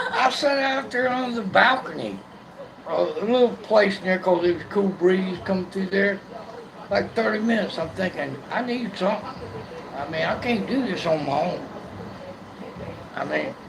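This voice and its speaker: A man with a high-pitched voice speaks at a moderate pace with ordinary pitch variation and long, frequent pauses. Audible room echo and noticeable background noise are present. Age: 60s. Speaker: blind man sharing his life story. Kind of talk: casual chat. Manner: halting, repeats words.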